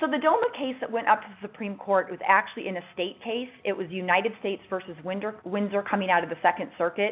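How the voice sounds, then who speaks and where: A woman talks at a very fast pace with hardly any pauses. Her pitch is medium with ordinary variation, over noticeable background noise. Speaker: lawyer presenting a webinar. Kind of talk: webinar presentation. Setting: webinar.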